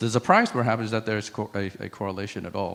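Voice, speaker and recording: This man talks very fast. His voice sits at a medium pitch. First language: French. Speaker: conference speaker on AI. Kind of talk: conference talk with slides. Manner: conversational, interactive with audience.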